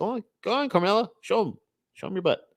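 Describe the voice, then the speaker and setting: A man rattles off lines at a very fast pace in a high-pitched, put-on character voice. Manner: cutesy cat-voice, coaxing.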